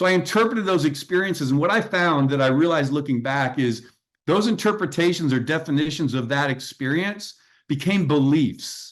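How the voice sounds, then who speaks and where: At a fairly quick pace, a man talks in a plain, everyday voice with a fairly high pitch, lively intonation and very even loudness. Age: 60s. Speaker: executive coach and author. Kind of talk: podcast interview.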